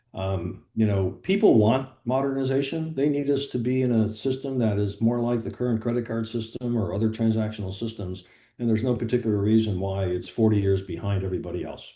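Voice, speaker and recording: A man talks at a fairly quick pace with hardly any pauses, his medium-pitched voice dark and mellow in tone, with ordinary pitch variation and a quiet background. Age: 70s. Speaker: health tech startup founder. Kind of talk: business meeting discussion.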